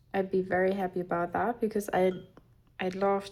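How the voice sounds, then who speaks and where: This woman has a non-native accent and a medium pitch. Her tone is dark and mellow. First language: not English. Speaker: craft youtuber. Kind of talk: casual chat while crafting. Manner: halting, many fillers.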